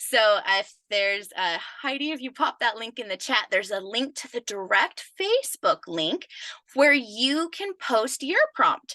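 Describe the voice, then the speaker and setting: A woman speaks in a high pitch at a fairly slow pace, with very wide pitch swings and a bright, sharp tone. Her loudness varies greatly, and the sound is dry and close with no echo. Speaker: business coach. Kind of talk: live webinar training. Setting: live stream video call. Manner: animated.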